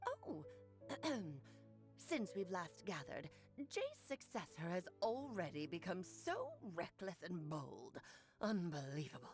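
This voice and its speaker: Over clear background music, a woman uses a put-on character voice with a fairly low pitch. She talks at a fairly slow pace, with long, frequent pauses. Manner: imitating an old hag.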